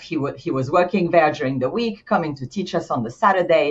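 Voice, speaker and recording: A woman speaks in a French accent at a fairly low pitch. Her intonation is lively and her voice somewhat breathy. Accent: French accent, still noticeable. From France, Paris. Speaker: insurance executive. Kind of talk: podcast interview. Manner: animated; halting, frequent restarts.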